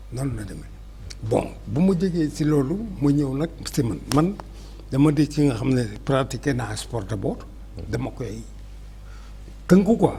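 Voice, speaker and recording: The man speaks at a fairly slow pace, with long, frequent pauses. Room echo is audible. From Senegal, Dakar. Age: 70s. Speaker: historian. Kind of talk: interview.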